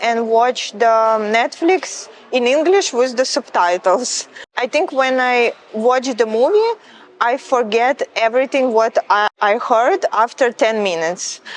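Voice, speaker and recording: In a Ukrainian accent, a woman speaks high and at a fairly slow pace, with ordinary pitch variation and very even loudness. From Ukraine. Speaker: model. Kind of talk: interview.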